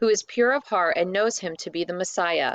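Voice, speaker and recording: A put-on character voice, female-sounding, at a medium pitch and a moderate pace. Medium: read story. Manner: eager, animated.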